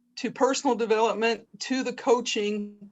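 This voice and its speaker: This woman's intonation stays monotone and flat. Her pitch is fairly high. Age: 60s. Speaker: webinar participant, horse person and retiring teacher. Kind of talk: question in a webinar. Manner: halting.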